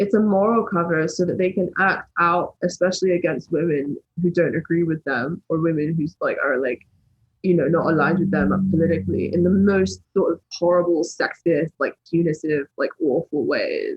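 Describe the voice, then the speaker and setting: Somewhat breathy, a woman with a fairly low pitch speaks at a moderate pace. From England. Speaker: political YouTuber. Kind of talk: podcast interview. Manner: animated.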